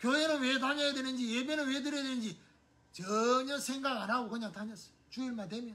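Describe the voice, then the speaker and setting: Speaking in a raised, projected voice at a fairly quick pace, this man has an extremely high pitch with ordinary pitch variation, and there is noticeable background noise and audible room echo. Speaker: pastor. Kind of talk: sermon. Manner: conversational.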